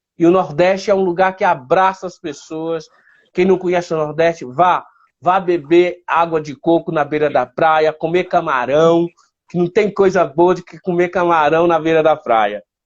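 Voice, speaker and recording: Speaking with a northeastern Brazilian accent, a man talks at a moderate pace with a high pitch. His intonation is fairly even, while his loudness swings widely. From Northeast Brazil, Piauí. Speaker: blind photographer. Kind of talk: interview.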